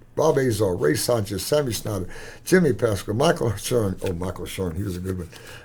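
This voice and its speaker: A man with a Texan accent talks at a fairly quick pace, his dark, mellow tone somewhat breathy. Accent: Texan American. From Texas. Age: 80s+. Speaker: former boxer. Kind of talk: interview.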